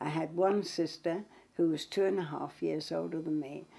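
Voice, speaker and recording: A woman's very deep, low voice with vocal fry, a dark, mellow tone and a moderate pace. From London, East End (Hackney/Clapton). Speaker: interviewee recounting life story. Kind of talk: casual life-story interview.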